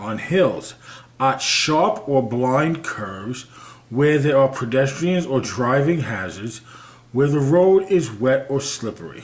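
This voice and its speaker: Noticeable background noise and audible room echo accompany a man's voice. He speaks at a very slow pace with a medium pitch. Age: 50s. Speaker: video blogger. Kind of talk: reading aloud with commentary. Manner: halting.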